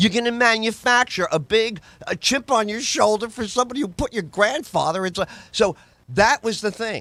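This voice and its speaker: With an American accent, a man speaks in a raised, projected voice at a high pitch and a moderate pace, his tone animated, bright and sharp, with ordinary pitch variation. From New York, the Bronx. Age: 60s. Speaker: comedian and talk radio host. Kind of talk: casual podcast chat.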